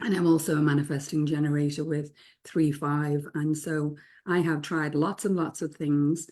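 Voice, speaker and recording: A woman speaks at a moderate pace in a very deep, low pitch with a dark, mellow tone. Her intonation is monotone and flat, and the recording is very clean with a silent background. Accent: English. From England. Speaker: spiritual teacher and author. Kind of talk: casual group discussion.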